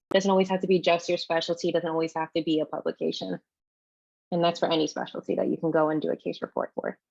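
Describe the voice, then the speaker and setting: Talking at a very fast pace, a woman uses a fairly low pitch with vocal fry. Her intonation is fairly even, and the sound is dry and close with no echo. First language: French. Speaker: medical student. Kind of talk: panel discussion.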